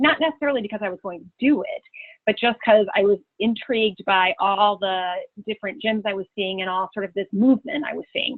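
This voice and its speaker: In a Chicago accent, a woman talks at a fairly quick pace with a medium pitch and ordinary pitch variation. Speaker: change management consultant and trainer. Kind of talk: webinar presentation. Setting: webinar call.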